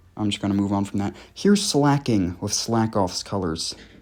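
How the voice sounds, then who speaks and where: A man speaking at a fairly slow pace, with lively intonation. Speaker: YouTuber reviewing edited game character designs. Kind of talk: casual video commentary. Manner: halting, self-correcting; casual, filler-heavy.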